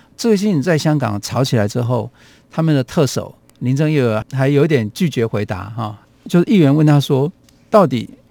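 With lively intonation and a fairly high pitch, a man speaks in an unremarkable speaking voice at a moderate pace, in a dry, close sound with no echo. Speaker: radio host. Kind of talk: radio talk show, casual conversation.

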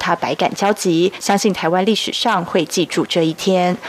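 A woman speaks at a moderate pace and a medium pitch with ordinary pitch variation. Noticeable background noise runs behind her. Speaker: news reporter. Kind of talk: news report.

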